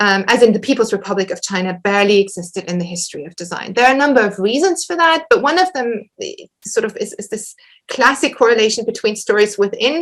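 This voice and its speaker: A woman with a German accent talks very fast, with hardly any pauses, at a fairly high pitch. Her intonation is lively and her loudness swings widely. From western Germany. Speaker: historian, academic lecturer. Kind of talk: Q&A after an academic lecture. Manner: halting, many repetitions and fillers.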